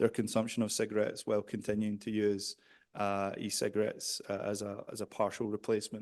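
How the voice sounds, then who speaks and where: A man speaks with a Scottish accent at a fairly quick pace. The background is quiet. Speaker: behavioral psychologist and researcher. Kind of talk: conference presentation. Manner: hesitant, many fillers.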